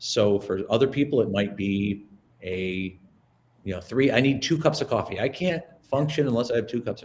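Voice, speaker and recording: The man's tone is animated and somewhat breathy. He talks at a fairly quick pace. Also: medium pitch for a man, lively intonation. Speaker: presentation trainer. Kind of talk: webinar presentation. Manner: fast.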